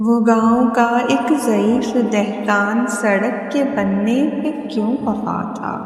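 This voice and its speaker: A woman's fairly high voice with fairly even intonation, over noticeable background noise. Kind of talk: poetry reading. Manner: emotional.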